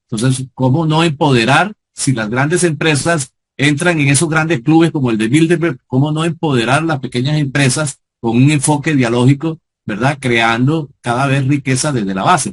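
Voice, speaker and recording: A somewhat breathy man at a fairly high pitch, with ordinary pitch variation. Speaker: sociologist and lecturer. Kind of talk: lecture. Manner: fast.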